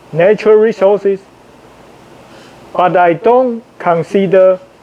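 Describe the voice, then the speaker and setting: Over noticeable background noise, a man talks at a fairly slow pace in a high voice with ordinary pitch variation. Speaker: international student. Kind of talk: opinion monologue to camera. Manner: very slow.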